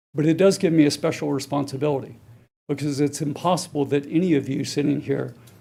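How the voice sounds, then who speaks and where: A man with an American accent speaks at a fairly quick pace with a fairly high pitch and a dark, mellow tone. His intonation is monotone and flat, with vocal fry. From US South, Chapel Hill, North Carolina. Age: 60s. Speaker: public commenter. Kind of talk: public comment.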